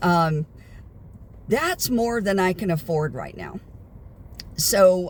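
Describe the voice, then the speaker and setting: A woman's somewhat breathy voice with an American accent, at a moderate pace. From United States. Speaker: vlogger. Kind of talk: casual vlog monologue. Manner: hesitant, many fillers.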